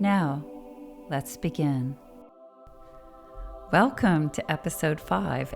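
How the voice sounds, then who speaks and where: With music in the background, a woman with a very deep, low-pitched voice speaks very slowly, with long, frequent pauses and lively intonation. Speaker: spiritual podcast host. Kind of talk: spiritual meditation podcast narration. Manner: slow, methodical.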